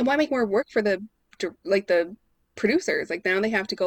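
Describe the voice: The voice gives a plain reading aloud against a quiet background.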